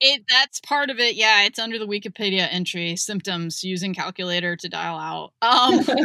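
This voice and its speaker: In a plain, everyday voice, a woman speaks at a moderate pace and medium pitch with lively intonation. She leaves hardly any pauses, and the sound is dry and close with no echo. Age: 40s. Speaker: podcast host and author. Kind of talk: casual chat.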